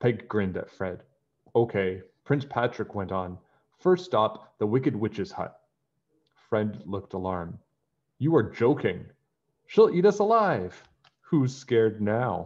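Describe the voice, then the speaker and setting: The pace of this man is fairly slow, with long, frequent pauses. His intonation is lively over a quiet background. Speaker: teacher reading a story aloud. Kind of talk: storybook read-aloud. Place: home room.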